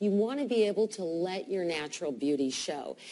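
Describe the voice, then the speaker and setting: Using a plain, everyday voice, a woman talks at a moderate tempo with lively, varied intonation. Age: 50s. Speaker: dermatologist. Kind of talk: TV talk show interview.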